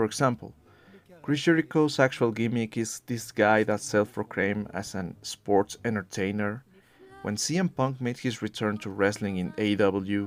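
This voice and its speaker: With a non-native accent, a man speaks at a moderate pace with ordinary pitch variation. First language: not English. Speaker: wrestling commentary YouTuber. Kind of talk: scripted video essay.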